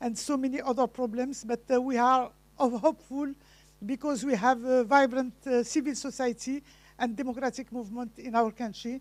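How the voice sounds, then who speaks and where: A woman speaks at a moderate pace with a non-native accent and a high pitch. Her intonation stays fairly even, and the recording is very clean with a silent background. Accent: foreign accent in English. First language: not English (English is third language). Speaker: speaker at a conference. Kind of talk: conference speech. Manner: halting with many fillers.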